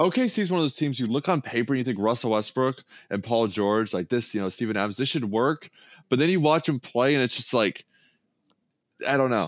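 An ordinary speaking voice from a man with an American accent, medium pitch, lively intonation and very even loudness. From Texas, Austin. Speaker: sports YouTuber and streamer. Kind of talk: casual chat.

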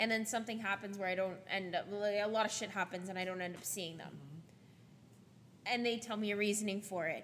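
A woman with a normal speaking voice talks fairly quickly at a medium pitch, her intonation fairly even. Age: 20s. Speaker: podcast host. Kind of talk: casual chat.

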